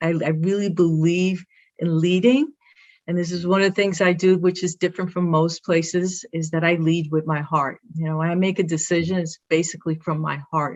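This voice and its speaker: Speaking at a moderate pace, a woman with a Brooklyn accent has a fairly low-pitched voice. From Brooklyn, New York. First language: Spanish. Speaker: athletic director. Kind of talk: interview. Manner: animated.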